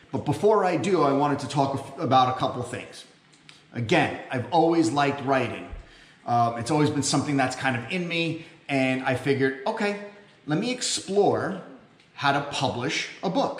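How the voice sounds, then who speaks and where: A man talks at a moderate pace, with audible echo in the room. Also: ordinary pitch variation. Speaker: self-published author vlogger. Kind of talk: casual vlog chat. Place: home room. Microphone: camera far.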